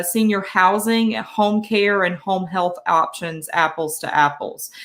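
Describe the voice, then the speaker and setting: This woman speaks with a Southern US accent at a medium pitch and a fairly slow pace. Her pitch varies in an ordinary way, on a very clean recording with a silent background. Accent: Southern US (Georgia). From Georgia. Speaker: senior resource directory representative. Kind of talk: live stream interview. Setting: live stream.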